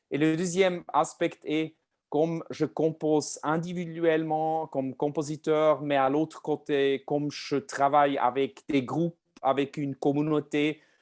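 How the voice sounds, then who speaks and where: A man with a non-native accent speaks fairly slowly in a fairly high pitch, his intonation monotone and flat. The sound is dry and close with no echo, in a very clean recording over a silent background. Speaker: pianist and composer. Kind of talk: lecture. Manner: halting, many hesitations.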